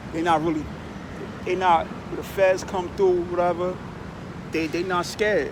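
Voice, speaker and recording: Amid noticeable background noise and audible room echo, a man speaks in an animated tone at a high pitch. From Long Island, New York. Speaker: vlogger. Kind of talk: casual monologue. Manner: animated, repetitive filler.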